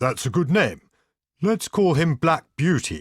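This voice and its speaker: A man uses a put-on character voice with a fairly high pitch and lively intonation. The sound is dry and close, with no echo. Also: fairly slow pace. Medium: read story.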